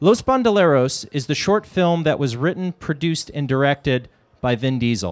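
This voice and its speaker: In a plain, everyday voice, a man talks at a moderate pace, the sound dry and close with no echo. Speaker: event announcer. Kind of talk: public announcement. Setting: stage with audience.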